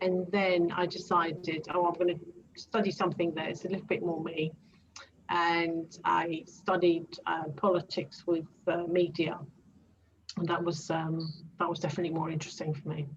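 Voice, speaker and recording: With noticeable background noise behind her, a woman with a Greek accent talks at a moderate pace in a fairly low, monotone, flat voice. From Greece. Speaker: transformation coach. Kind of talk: interview. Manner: hesitant, many fillers.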